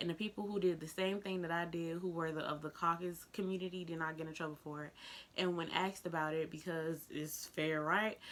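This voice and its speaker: A fairly quick, animated woman with an American accent and a fairly low pitch, against noticeable background noise. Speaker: vlogger. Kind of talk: casual vlog monologue.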